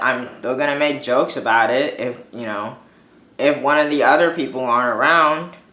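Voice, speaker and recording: A man's fairly high voice at a fairly slow pace, with audible room echo. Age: 20s. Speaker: vlogger with dwarfism. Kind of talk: casual monologue. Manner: informal, many fillers.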